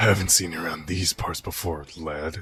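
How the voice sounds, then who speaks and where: A man puts on a character voice that is very deep and raspy, speaking at a moderate pace with fairly even intonation. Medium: audio drama. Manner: gruff.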